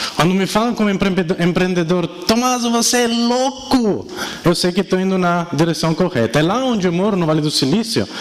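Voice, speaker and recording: Speaking at a fairly quick pace with an Italian accent, this voice has lively intonation and very even loudness over noticeable background noise. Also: man, high pitch for a man. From Italy. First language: Italian (speaking Portuguese). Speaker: entrepreneur and speaker. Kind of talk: keynote talk. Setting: stage with audience. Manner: animated.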